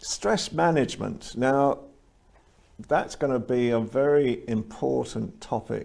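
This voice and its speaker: In an English accent, a man at a medium pitch talks at a very slow pace with lively intonation and very even loudness. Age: 60s. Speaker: show host. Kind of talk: interview.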